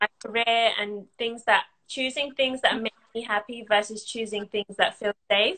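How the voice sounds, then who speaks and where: With a bright, sharp tone, a woman talks at a fairly slow pace and with fairly even intonation, against a quiet background. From London. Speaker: content creator and business owner; content creator. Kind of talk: casual interview. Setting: online live video call. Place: home room. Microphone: video call.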